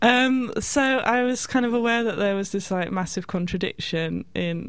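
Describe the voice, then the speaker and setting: A woman with a British accent speaks at a moderate pace with ordinary pitch variation, in a very clean recording with a silent background. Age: 30s. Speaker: artist and activist. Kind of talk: radio interview.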